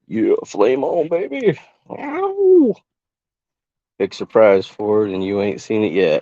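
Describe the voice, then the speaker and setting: With long, frequent pauses, a man moves along at a very slow pace. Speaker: livestream cooking host. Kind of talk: casual livestream cooking commentary. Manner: quiet, not a big talker.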